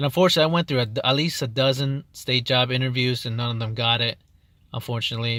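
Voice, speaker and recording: This man talks very fast at a medium pitch. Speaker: correctional counselor. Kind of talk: casual vlog talk. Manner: halting, many fillers.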